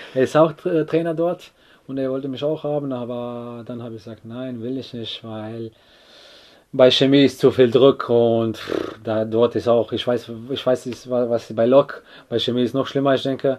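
A man at medium pitch with a Croatian accent, moderate pace, fairly even intonation and big swings in loudness. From Croatia, Split. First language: Croatian (speaking German). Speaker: footballer. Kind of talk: casual interview. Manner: halting.

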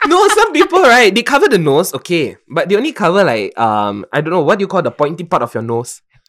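A man talking at a very fast pace with hardly any pauses. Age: 20s. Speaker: podcast host. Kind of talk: casual chat. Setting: online call recording.

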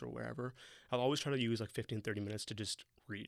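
A man with a Toronto accent, medium pitch, ordinary pitch variation and vocal fry, at a very fast pace on a very clean recording with a silent background. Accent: Canadian English, Toronto. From Toronto, Canada. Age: young. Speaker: city tech coordinator and entrepreneur. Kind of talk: casual interview chat.

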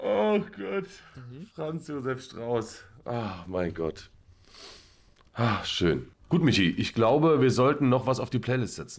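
On a very clean recording with a silent background, a man with vocal fry speaks at a very slow pace, taking long, frequent pauses and using very wide pitch swings. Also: medium pitch for a man. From Hesse, Germany. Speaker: podcast co-host. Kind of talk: casual chat.

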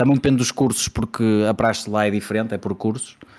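A Porto accent on a very clean recording with a silent background. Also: man. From Portugal, Porto. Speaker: podcast host. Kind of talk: casual chat.

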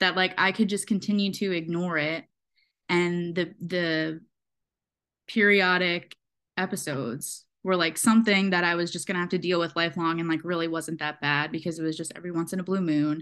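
Against a quiet background, a woman with an unremarkable speaking voice talks at a moderate pace and a medium pitch. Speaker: host's best friend. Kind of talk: casual chat.

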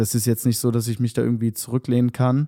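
His voice sits at a medium pitch with a dark, mellow tone. The man speaks in a monotone, flat intonation. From Hannover, northern Germany. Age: 20s. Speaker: musician. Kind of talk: casual chat. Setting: video call from home.

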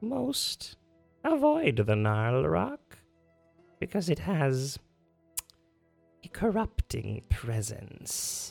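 In a put-on character voice of low-to-middle pitch, the speaker goes at a very slow pace with long, frequent pauses over faint music in the background. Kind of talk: menacing bargaining villain. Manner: sly, coolly amused, evasive.

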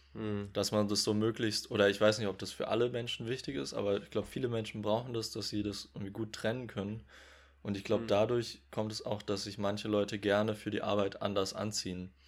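A man with a fairly low pitch talks fairly quickly in a monotone, flat intonation. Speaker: podcast co-host. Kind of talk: casual chat. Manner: laughs often.

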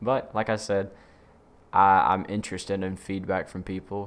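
Very deep and low, a man's voice comes with a Southern US accent and monotone, flat intonation. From Mississippi, US South. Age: 20s. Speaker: podcast host and aspiring actor. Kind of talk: casual solo podcast intro. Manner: hesitant, many fillers and repeats.

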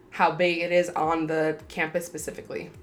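A fairly low-pitched woman's voice over background music. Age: 20s. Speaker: podcast host, college student. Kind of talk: casual solo podcast talk.

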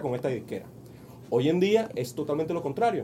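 A man is speaking. His voice sits high in pitch. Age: 40s. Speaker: business coach. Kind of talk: radio interview. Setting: radio studio. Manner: halting, many repetitions and fillers.

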